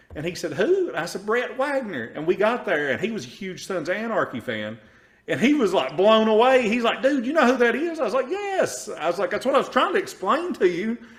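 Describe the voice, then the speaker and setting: A man's high-pitched, animated voice at a fairly quick pace, with very wide pitch swings. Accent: Eastern Kentucky. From Eastern Kentucky. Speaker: podcast host. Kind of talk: casual interview.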